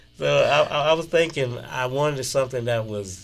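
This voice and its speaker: With a Southern US accent, a man speaks at a fairly slow pace and ordinary pitch variation while music plays in the background. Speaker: blues musician. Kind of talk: interview. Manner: casual, relaxed.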